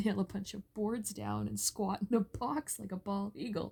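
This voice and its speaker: Somewhat breathy, a woman's very deep, low voice with a dark, mellow tone swings very widely in pitch. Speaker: podcaster telling personal stories. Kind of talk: casual storytelling monologue. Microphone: faulty microphone, poor audio quality.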